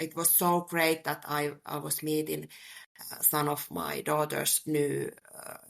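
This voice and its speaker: In a Finnish accent, a woman speaks at a fairly slow pace. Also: big swings in loudness. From Finland, Helsinki. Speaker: sales professional. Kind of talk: interview. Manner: halting.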